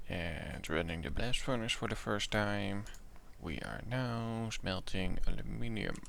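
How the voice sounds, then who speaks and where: Over audible room echo, a man with a fairly low pitch talks at a fairly slow pace using lively intonation. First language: Dutch. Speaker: gaming YouTuber. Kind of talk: gameplay commentary. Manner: halting, many fillers; casual.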